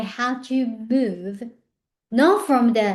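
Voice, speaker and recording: A woman speaks with a Japanese accent at a very slow pace. Her pitch variation is ordinary. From Japan, Tokyo. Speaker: personal growth speaker. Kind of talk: motivational talk. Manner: conversational, with hesitations.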